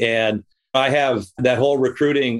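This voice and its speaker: At a medium pitch, a man talks in a normal speaking voice with fairly even intonation. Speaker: podcast host and credit union consultant. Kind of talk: interview.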